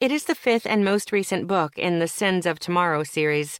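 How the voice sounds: What you hear is a natural reading voice.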